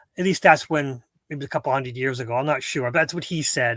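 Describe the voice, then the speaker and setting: Fairly high in pitch, a man talks at a fairly quick pace on a very clean recording with a silent background. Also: dry, close sound with no echo. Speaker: philosophy talk show co-host. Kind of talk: casual chat. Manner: halting, many repetitions and fillers.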